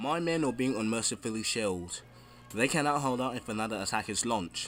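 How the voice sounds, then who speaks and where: In an unremarkable speaking voice, a man talks at a moderate pace with ordinary pitch variation. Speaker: history video narrator. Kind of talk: history documentary narration.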